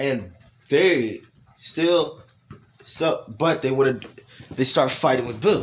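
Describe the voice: What we hear is plain reading aloud.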